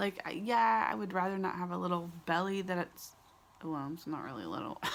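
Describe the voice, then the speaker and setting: A soft-spoken woman at a fairly quick pace, fairly low in pitch with ordinary pitch variation. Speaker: vlogger. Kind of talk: casual chat. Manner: hesitant, many fillers.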